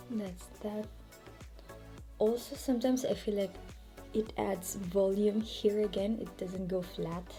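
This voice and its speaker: A woman speaks at a fairly slow pace with a French accent, leaving long, frequent pauses. Music plays in the background. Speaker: hair care vlogger. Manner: casual, demonstrative.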